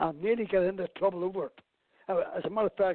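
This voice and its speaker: In a Belfast accent, a man with a high-pitched voice talks at a fairly quick pace. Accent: Belfast Northern Irish. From Northern Ireland, Belfast. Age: 70s. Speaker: campaigner for inquiry into father's murder. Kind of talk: radio interview.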